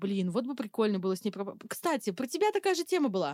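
Very fast and fairly high-pitched, a woman speaks in a very clean recording with a silent background and a dry, close sound without echo. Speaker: freelance targeting specialist. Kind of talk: casual chat.

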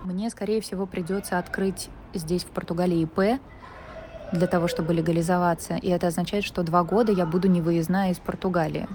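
Fairly low-pitched woman's voice at a moderate pace with monotone, flat intonation and noticeable background noise. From Russia, Saint Petersburg. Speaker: film producer. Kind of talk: recorded audio letter.

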